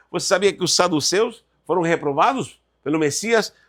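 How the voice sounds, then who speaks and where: Very cleanly recorded against a silent background, a man with a Spanish accent speaks at a moderate pace in an animated tone, his high pitch showing ordinary pitch variation. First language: Spanish (speaking Portuguese). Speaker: Bible teacher. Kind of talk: lecture.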